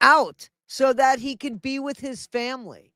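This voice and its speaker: A man speaks in a raised, projected voice at an extremely high pitch, bright and sharp in tone. His pace is very slow. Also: dry, close sound with no echo, very clean recording, silent background. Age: 60s. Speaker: news and entertainment livestream host. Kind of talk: casual commentary over a played news clip.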